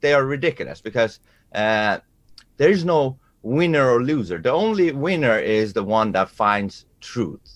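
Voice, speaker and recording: Speaking at a fairly slow pace with a Persian accent, a man makes very wide pitch swings over a quiet background. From Iran. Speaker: musician and debater. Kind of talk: self-introduction. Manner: halting, many fillers.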